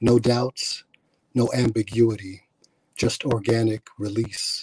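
A man with an American accent speaks at a very slow pace in a monotone, flat intonation. His voice has a medium pitch and is somewhat breathy. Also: dry, close sound with no echo. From Milwaukee, Wisconsin. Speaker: poet. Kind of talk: spoken word poetry performance. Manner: drawing in, rhythmic.

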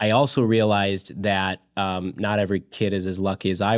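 The recording is very clean, with a silent background. A man talks in a very deep, low voice. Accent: US Midwestern. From central Illinois (Springfield). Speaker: school choice policy advocate. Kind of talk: interview. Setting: studio with camera. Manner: hesitant, many fillers and repeated words.

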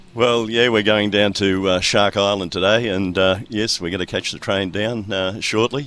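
A man's fairly low voice at a moderate pace, with fairly even intonation and hardly any pauses. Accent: Australian. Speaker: sailor's father, club member. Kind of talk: casual radio interview. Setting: sailing club, radio segment.

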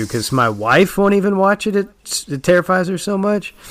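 Over noticeable background noise, a man speaks in an American accent at a moderate pace. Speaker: podcast host. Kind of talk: casual chat.

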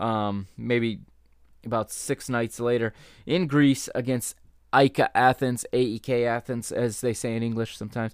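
A man speaks in a plain, everyday voice at a medium pitch with fairly even intonation. The sound is dry and close with no echo, on a very clean recording with a silent background. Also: moderate pace. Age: 30s. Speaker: football podcast host. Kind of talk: solo podcast monologue.

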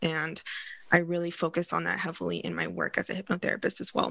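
Speaking at a fairly quick pace, a woman with a Californian accent has a fairly low pitch. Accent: Californian American English. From Northern California. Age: 30s. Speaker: hypnotherapist and coach. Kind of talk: podcast interview.

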